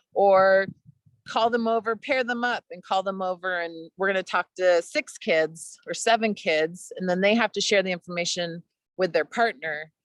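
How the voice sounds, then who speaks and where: Here a woman talks at a moderate pace with medium pitch and ordinary pitch variation. The sound is dry and close with no echo, and the background is quiet. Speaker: outdoor education presenter. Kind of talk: webinar presentation.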